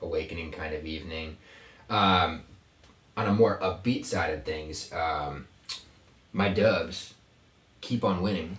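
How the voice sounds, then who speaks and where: The man's very deep, low voice moves at a fairly slow pace with ordinary pitch variation and long, frequent pauses, with audible room echo and noticeable background noise. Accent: American. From Virginia. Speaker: podcast host. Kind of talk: casual chat. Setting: small closet in an apartment. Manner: animated.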